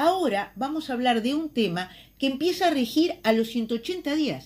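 The woman talks fairly slowly. Her recording is very clean and the background is silent. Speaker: politician. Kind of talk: recorded column.

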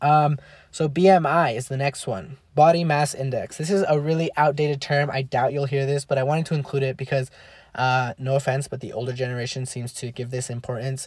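In a very clean recording with a silent background, a man with a fairly high, somewhat breathy voice talks at a fairly quick pace with fairly even intonation. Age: 20s. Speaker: podcast host. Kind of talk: casual solo podcast explainer.

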